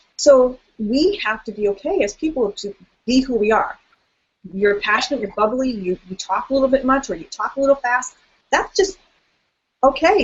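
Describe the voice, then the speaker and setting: A woman's lively intonation in a high-pitched voice. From South America. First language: Spanish. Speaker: therapist and coach. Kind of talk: interview. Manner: fast; animated.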